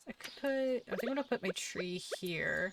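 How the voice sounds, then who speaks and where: Speaking with a slight Southern US accent, a woman uses lively intonation at a moderate pace, the sound dry and close with no echo despite noticeable background noise. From US South, Jacksonville, Northeast Florida. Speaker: streamer. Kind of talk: casual gaming stream chat. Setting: live stream, home setup. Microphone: new audio setup, possible audio issues.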